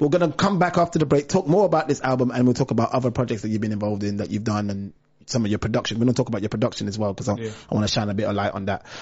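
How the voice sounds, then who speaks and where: A man's medium-pitched, somewhat breathy voice at a very fast pace with hardly any pauses. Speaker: podcast host. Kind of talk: casual interview chat. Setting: live online video stream.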